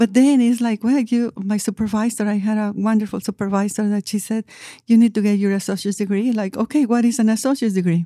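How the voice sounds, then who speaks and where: A woman with a Spanish accent, very fast, fairly high-pitched and fairly even in intonation, in a dark, mellow tone with a dry, close sound and no echo on a very clean recording with a silent background. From Mexico City, Mexico. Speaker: community college outreach manager. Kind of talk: interview.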